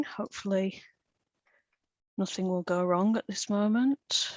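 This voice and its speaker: With a northern English accent, a woman talks at a fairly slow pace with ordinary pitch variation. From Lancashire, northern England. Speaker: tour guide and speaker. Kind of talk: lecture. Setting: video call.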